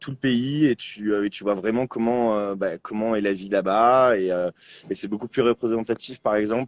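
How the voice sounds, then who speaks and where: A man at a fairly low pitch and moderate pace, with fairly even intonation and a dry, close sound free of echo. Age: 20s. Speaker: bicycle traveller. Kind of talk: interview. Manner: hesitant, many fillers.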